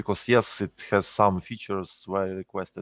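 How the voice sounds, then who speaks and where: At a moderate pace, a man with a non-native accent speaks at a very deep, low pitch in monotone, flat intonation, with a dry, close sound, no echo and a quiet background. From Ukraine. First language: Russian. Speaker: software company CTO. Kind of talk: live Q&A answers. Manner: halting, many fillers.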